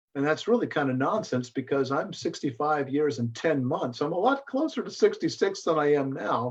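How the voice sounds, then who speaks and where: The speaker is a man. He talks at a moderate pace. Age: 60s. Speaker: astronomer. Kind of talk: casual chat. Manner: halting.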